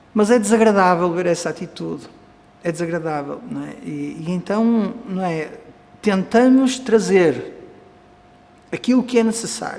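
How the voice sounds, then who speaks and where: Amid noticeable background noise and audible room echo, a man with a European Portuguese accent speaks at a high pitch and a fairly slow pace, with lively intonation and long, frequent pauses. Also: big swings in loudness. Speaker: Vedanta teacher. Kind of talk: lecture.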